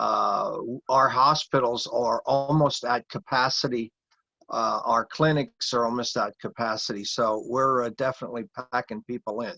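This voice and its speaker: Heard in a dry, close sound with no echo, a man with an American accent talks at a moderate pace. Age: 60s. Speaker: heathen priest and recovery program leader. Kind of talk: interview talk. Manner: halting, many fillers.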